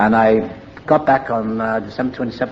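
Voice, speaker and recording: Over noticeable background noise, a man with a Welsh accent speaks fairly quickly at a medium pitch. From Wales. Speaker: recovering alcoholic. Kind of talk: AA meeting speaker talk, personal story.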